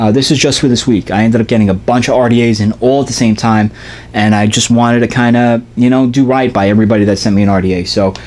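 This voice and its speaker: A man talks at a very fast pace with a medium pitch. His loudness stays very even over noticeable background noise. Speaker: vape product reviewer. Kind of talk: product review video. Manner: animated.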